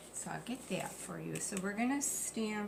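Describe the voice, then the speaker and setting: The speech carries ordinary pitch variation, with audible room echo and noticeable background noise. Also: woman. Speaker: paper crafting YouTuber. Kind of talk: crafting tutorial. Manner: casual, thinking aloud.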